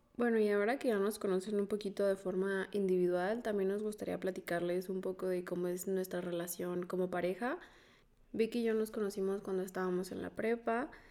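A woman speaks at a fairly quick pace and medium pitch. Her tone is dark and mellow, her intonation fairly even. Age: 20s. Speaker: podcast co-host. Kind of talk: casual chat.

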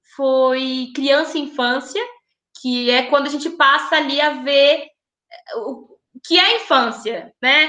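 A woman projects a raised, high voice with a bright, sharp tone. She goes at a fairly slow pace with ordinary pitch variation. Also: long, frequent pauses. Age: 20s. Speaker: pedagogy student. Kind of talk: casual chat.

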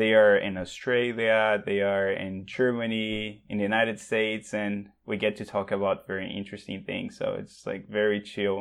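This man talks at a fairly slow pace with a São Paulo accent. His fairly low voice stays monotone and flat. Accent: São Paulo Brazilian accent in English. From Brazil, São Paulo. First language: Portuguese. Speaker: language teacher and show's technical staff. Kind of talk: casual chat.

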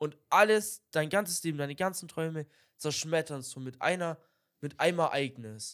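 On a very clean recording with a silent background, a man speaks at a moderate pace with a fairly high pitch and ordinary pitch variation. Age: young. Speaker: podcast co-host. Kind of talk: casual chat. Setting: video podcast recording.

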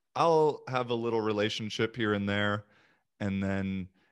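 A man talks at a moderate pace with a fairly low pitch and ordinary pitch variation. The background is quiet. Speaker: podcast host. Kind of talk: casual interview. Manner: chatty, lots of questions.

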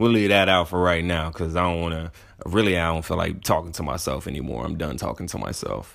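A man with an American accent speaks at a very fast pace in a very deep, low pitch, with vocal fry. His tone is animated, with ordinary pitch variation. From San Antonio, Texas. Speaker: podcast host. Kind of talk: casual solo monologue.

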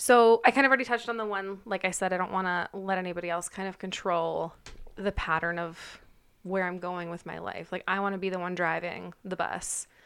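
On a very clean recording with a silent background, a woman speaks at a medium pitch and a fairly quick pace. She has a normal speaking voice with fairly even intonation. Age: 20s. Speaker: podcast co-host. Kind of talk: casual chat.

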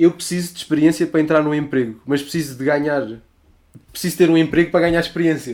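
A man at a very fast pace and fairly high pitch, with fairly even intonation. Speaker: podcast co-host. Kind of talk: casual chat.

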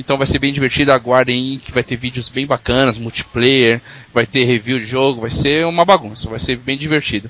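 A man with a normal speaking voice talks at a fairly quick pace. His pitch is medium and his intonation fairly even. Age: 30s. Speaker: podcast host. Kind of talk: casual chat.

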